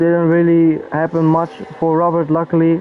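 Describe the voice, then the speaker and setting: Noticeable background noise sits under a man who speaks with a non-native accent in a high, flat, monotone voice at a fairly slow pace. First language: not English. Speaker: sim racing commentator. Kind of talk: live commentary. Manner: casual.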